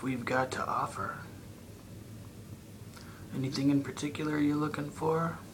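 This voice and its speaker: Noticeable background noise runs under the recording. A man speaks in a monotone, flat way. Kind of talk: ASMR roleplay. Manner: whispered, soft-spoken.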